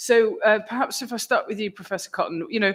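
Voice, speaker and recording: A woman speaks on a very clean recording with a totally silent background. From England outside London and the South East. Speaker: member of parliament, committee member. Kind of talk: committee questioning. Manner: informal, chatty.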